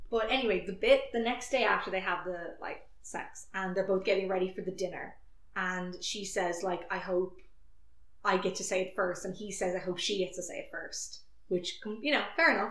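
A woman with an unremarkable speaking voice talks at a moderate pace, her medium pitch carrying fairly even intonation. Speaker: podcast host. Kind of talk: casual chat.

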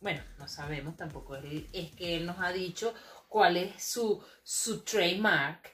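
With a Venezuelan accent, a woman speaks very slowly at a fairly low pitch. Her loudness swings widely, while her pitch varies in an ordinary way. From Venezuela, Maracay. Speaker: podcast co-host. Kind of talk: casual chat.

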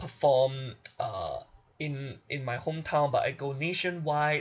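A man speaks in a somewhat breathy voice. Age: 20s. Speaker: podcast host and singer. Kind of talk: solo monologue. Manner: animated.

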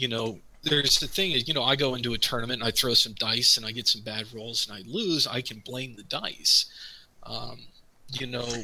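Speaking at a moderate pace, a man with medium pitch and ordinary pitch variation is heard over noticeable background noise. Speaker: tabletop gamer, campaign player. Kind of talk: casual chat, livestream. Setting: livestream with chat.

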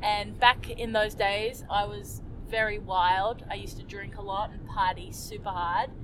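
With a New Zealand accent, a woman speaks at a fairly slow pace and medium pitch, her intonation monotone and flat while her loudness swings widely. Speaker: Olympic skier. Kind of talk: casual interview.

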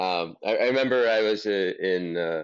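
A man talks with an American accent. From US, Los Angeles, California. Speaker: investor and business founder. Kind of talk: interview. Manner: halting, many repetitions and fillers.

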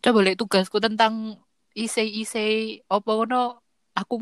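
A woman speaks at a fairly high pitch in a plain, everyday voice. The sound is dry and close with no echo, in a very clean recording with a silent background. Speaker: podcaster guest. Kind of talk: casual chat.

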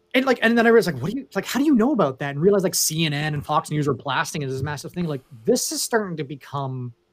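Speaking with a Canadian accent, a man uses a fairly high pitch with very wide pitch swings. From Canada. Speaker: cloud infrastructure sales consultant. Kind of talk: casual interview chat.

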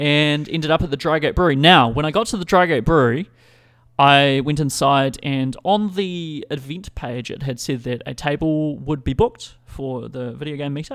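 A man with a New Zealand accent speaks at a moderate pace with a fairly high pitch and ordinary pitch variation in a very clean recording with a silent background. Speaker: podcast host. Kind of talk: casual chat. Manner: rambling, informal.

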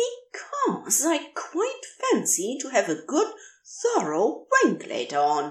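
Using a put-on character voice, a woman speaks slowly at a fairly high pitch, her pitch swinging very widely.

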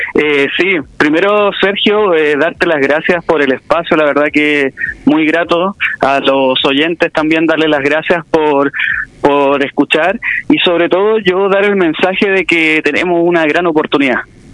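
A fairly slow pace and very even loudness, with noticeable background noise. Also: man, fairly high pitch for a man, ordinary pitch variation. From Chile, Quilpué. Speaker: history teacher and local political candidate. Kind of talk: radio interview. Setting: phone call.

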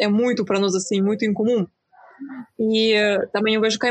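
Moderately paced speech from a woman, medium in pitch, her intonation fairly even. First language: Ukrainian or Russian (speaking Portuguese). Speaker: YouTuber on Slavic culture. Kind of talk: casual chat.

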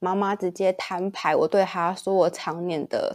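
At a moderate pace, a woman of medium pitch is heard in a very clean recording with a silent background and a dry, close sound with no echo. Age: 20s. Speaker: guest. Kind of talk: casual chat.

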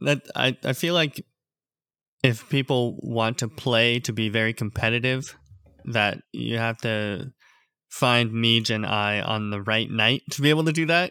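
In a very clean recording with a silent background, a man speaks at a fairly slow pace. His medium-pitched voice has a bright, sharp tone and ordinary pitch variation. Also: dry, close sound with no echo. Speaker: podcast co-host. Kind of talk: casual chat.

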